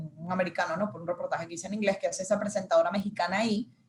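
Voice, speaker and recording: Somewhat breathy, the woman's voice rests at a medium pitch. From Venezuela. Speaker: news reporter and marketing communications manager. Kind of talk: interview answer.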